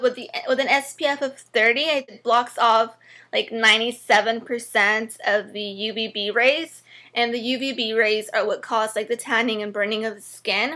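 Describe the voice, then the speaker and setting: On a very clean recording with a silent background, a woman with a fairly high pitch and bright, sharp tone speaks at a moderate pace with fairly even intonation. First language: not English. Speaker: beauty vlogger. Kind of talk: product review tutorial. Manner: casual, hesitant with many fillers.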